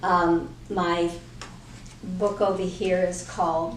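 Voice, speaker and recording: A woman with an American accent speaks at a fairly low pitch with fairly even intonation. There is noticeable background noise and audible room echo. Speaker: artist and author. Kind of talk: interview.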